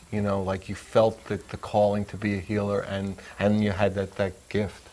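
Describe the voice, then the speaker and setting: Here is a man with a plain, everyday voice. He speaks at a moderate pace with a fairly low pitch. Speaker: talk show host. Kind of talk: casual interview questions.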